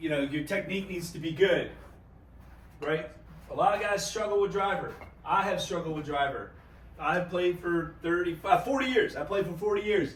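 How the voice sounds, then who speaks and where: With long, frequent pauses, a man talks at a high pitch with ordinary pitch variation, heard through audible room echo and noticeable background noise. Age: 50s. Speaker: golf YouTuber. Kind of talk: casual vlog-style golf tutorial. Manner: fast; animated.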